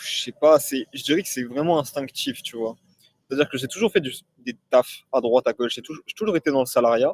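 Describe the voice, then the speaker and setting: The delivery comes at a fairly quick pace with ordinary pitch variation and big swings in loudness, in a dry, close sound with no echo. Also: man, fairly high pitch for a man. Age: 20s. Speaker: e-commerce entrepreneur. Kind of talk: casual interview. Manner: hesitant, many fillers.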